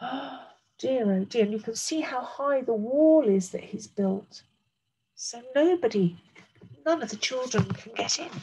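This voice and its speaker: With a high pitch and a gentle, warm tone, a woman speaks at a fairly slow pace using lively intonation. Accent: British. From England. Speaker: primary school teacher. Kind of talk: bedtime-style story reading aloud to young children, with commentary on the pictures. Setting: recorded video lesson for a school class. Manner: gentle, warm and expressive, with slow, clear pacing and pauses to point at pictures; explains words simply and addresses children directly. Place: home room. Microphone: webcam.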